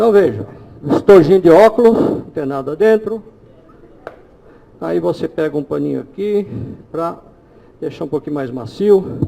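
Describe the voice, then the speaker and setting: A man speaks at a moderate pace with lively intonation and a high pitch. Noticeable background noise runs underneath. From Brazil. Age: 60s. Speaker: holistic therapist giving a talk. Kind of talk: live demonstration lecture.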